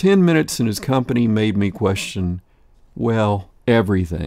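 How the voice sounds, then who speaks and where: Over a very clean recording with a silent background, a man with an ordinary speaking voice talks at fairly low pitch and a moderate pace. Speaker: voice actor. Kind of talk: audiobook narration.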